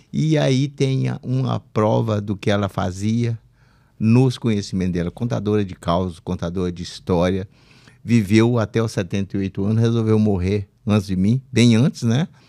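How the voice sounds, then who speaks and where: Here a man speaks with a dark, mellow tone at a fairly low pitch and with ordinary pitch variation. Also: moderate pace, very clean recording, silent background. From Minas Gerais, Brazil. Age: 80s+. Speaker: retired military officer, podcast co-host. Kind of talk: casual chat.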